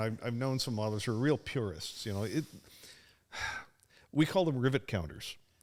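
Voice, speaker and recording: On a very clean recording with a silent background, a man speaks at a fairly quick pace. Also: long, frequent pauses. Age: 60s. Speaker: model collector and firefighter. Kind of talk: casual chat. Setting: podcast. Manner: halting, repeats words.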